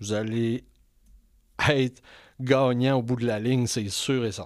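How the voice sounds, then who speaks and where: A man with a Quebec accent speaks at a very slow pace with fairly even intonation. The recording is very clean, with a silent background. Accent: Québécois French. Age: 50s. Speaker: podcast host. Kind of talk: interview.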